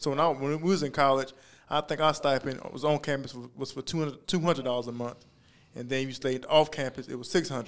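A man with a plain, everyday voice speaks at a fairly quick pace, fairly high in pitch and with fairly even intonation. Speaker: podcast co-host. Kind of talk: casual chat.

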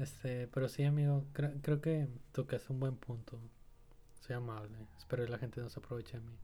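A man with a Mexican accent speaks at a fairly quick pace, somewhat breathy and at a medium pitch. His tone is dark and mellow, with fairly even intonation. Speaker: podcast co-host. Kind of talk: casual chat.

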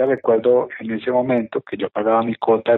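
An ordinary speaking voice from a man at a moderate pace. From Colombia. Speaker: real estate investor and course teacher. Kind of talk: interview. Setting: office, remote.

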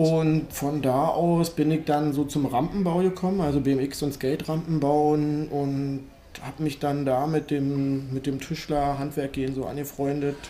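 With noticeable background noise, a man with fairly high pitch speaks at a fairly slow pace in a monotone, flat intonation. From Berlin. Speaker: BMX ramp builder. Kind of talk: casual chat.

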